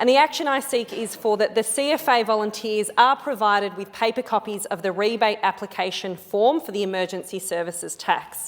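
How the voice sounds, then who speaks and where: A woman speaks at a fairly quick pace with an Australian accent, barely pausing at all. Her pitch rises and falls in an ordinary way. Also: fairly high pitch for a woman. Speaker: politician. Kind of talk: parliamentary speech. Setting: parliament chamber. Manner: formal.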